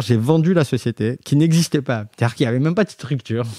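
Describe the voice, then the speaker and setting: In a plain, everyday voice, a man talks at a fairly quick pace with fairly high pitch and ordinary pitch variation, dry and close with no echo on a very clean recording with a silent background. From southwestern France, Montauban area. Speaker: designer and entrepreneur. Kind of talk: interview, casual storytelling.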